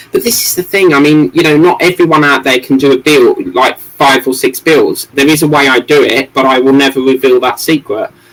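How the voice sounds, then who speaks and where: A man with an English accent talks at a fairly quick pace, with hardly any pauses. His pitch is fairly high and his loudness very even. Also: ordinary pitch variation. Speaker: model-building livestreamer. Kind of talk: casual livestream chat. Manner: fast, muddled speech.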